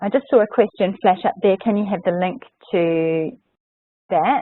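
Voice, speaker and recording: A plain, everyday voice with fairly even intonation at a moderate pace. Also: woman. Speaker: software trainer. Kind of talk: webinar tutorial. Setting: online webinar.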